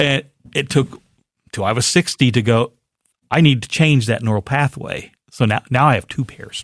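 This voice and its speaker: This man has a plain, everyday voice at medium pitch, with ordinary pitch variation and a moderate pace. The sound is dry and close, with no echo. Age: 60s. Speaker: podcast co-host, coach. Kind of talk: casual podcast conversation.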